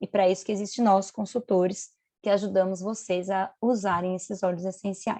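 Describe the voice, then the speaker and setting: In a plain, everyday voice, a woman at medium pitch talks at a moderate pace, the sound dry and close with no echo over a quiet background. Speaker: biologist and essential oils consultant. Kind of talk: online presentation to a group.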